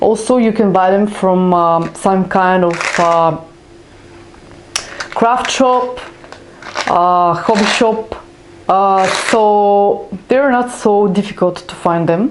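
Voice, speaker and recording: Speaking at a very slow pace with long, frequent pauses, a woman talks in a medium pitch with ordinary pitch variation, over noticeable background noise and audible room echo. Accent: non-native. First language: not English. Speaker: craft YouTuber. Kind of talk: tutorial. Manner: halting, many fillers.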